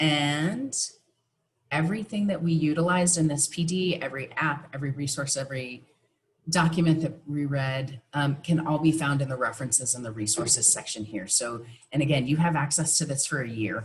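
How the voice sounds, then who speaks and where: A woman speaks at a fairly quick pace in a very deep, low voice. She is somewhat breathy, with ordinary pitch variation. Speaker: professional development presenter. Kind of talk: online teacher workshop presentation.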